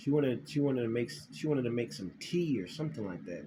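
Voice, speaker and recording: A man with a dark, mellow tone talks at a very fast pace, his pitch swinging very widely through vocal fry. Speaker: spiritual vlogger. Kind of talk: casual monologue to camera, recounting a dream. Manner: halting, many repetitions and fillers.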